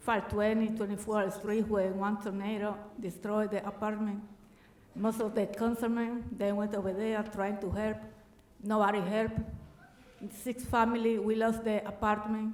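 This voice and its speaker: A woman with a Dominican accent speaks at a moderate pace and a fairly high pitch, her intonation monotone and flat, with long, frequent pauses. Noticeable background noise and audible room echo fill the recording. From Dominican Republic. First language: Spanish. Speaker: resident speaking at public comment. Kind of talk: public comment testimony. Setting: city council chamber. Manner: halting.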